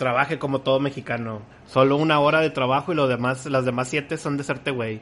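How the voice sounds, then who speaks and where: Extremely rapid speech comes from a man. His mid-range voice keeps a mostly level intonation. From Mexico, Guadalajara. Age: 30s. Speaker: podcast host. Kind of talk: casual chat.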